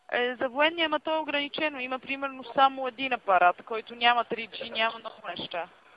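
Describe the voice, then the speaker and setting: Speaking at a fairly quick pace, a woman uses a high pitch with ordinary pitch variation and big swings in loudness. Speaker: phone company operator. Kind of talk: customer service call. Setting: phone line.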